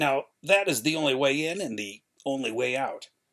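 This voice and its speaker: A man puts on a strained character voice at a medium pitch. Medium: read story. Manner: deferential, strained.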